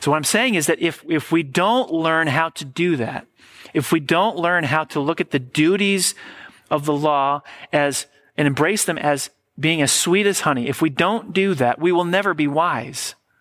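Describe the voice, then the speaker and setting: In a very clean recording with a silent background, a man with an unremarkable speaking voice talks at a moderate pace with ordinary pitch variation. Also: fairly high pitch for a man. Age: 40s. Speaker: pastor. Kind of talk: sermon.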